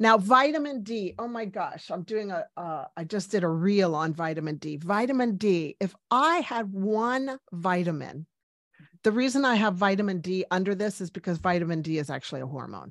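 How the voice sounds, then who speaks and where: A woman with lively intonation, an unremarkable speaking voice, in a very clean recording with a silent background. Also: medium pitch for a woman, moderate pace. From US, Cuban-American family, Washington DC. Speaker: medical doctor. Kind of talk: interview.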